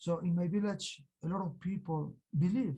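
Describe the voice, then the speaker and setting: A man's voice is dark and mellow, with a somewhat breathy edge. Its pitch shows ordinary variation. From Peru, Andes (Colcha, Cusco). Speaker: Andean healer. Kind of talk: interview. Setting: video call. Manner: halting, many fillers.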